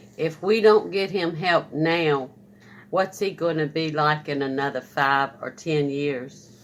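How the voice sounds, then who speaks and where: Her voice very deep and low, a woman speaks at a fairly slow pace with ordinary pitch variation. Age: 60s. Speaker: family member. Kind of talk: casual discussion.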